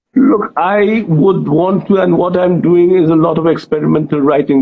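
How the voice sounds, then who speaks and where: At a moderate pace, a man speaks with a Bengali accent. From India, Bengali. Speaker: author and journalist. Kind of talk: interview. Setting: Instagram live video chat.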